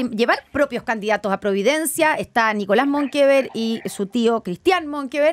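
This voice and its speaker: Speaking at a moderate pace, a woman sweeps through very wide pitch swings. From Chile. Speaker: radio host. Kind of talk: radio interview. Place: studio. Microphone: studio mic.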